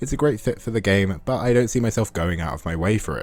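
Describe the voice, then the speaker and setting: A man with an English accent talks at a very fast pace in a fairly low pitch. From England. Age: 20s. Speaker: game reviewer. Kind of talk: scripted narration.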